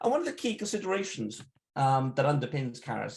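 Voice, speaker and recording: The man's voice is somewhat breathy, with lively intonation. He speaks at a fairly quick pace. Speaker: software security researcher and tool creator. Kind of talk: technical talk. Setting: live online event. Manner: fast.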